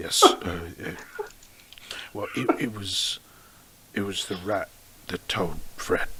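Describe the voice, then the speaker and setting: A man uses a raspy put-on character voice at a fairly low pitch. He speaks at a fairly slow pace over clear background noise. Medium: actual play. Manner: hesitant, stammering.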